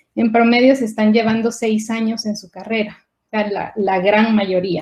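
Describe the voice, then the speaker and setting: A woman speaks somewhat breathily at a moderate pace, with a dark, mellow tone, a fairly high pitch and fairly even intonation. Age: 40s. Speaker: scientist. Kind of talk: conference talk. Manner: halting.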